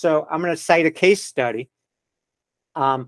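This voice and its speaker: A man with a normal speaking voice talks at a moderate pace and a fairly high pitch, with fairly even intonation, in a very clean recording with a silent background and a dry, close sound with no echo. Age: 60s. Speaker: podiatrist. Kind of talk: interview.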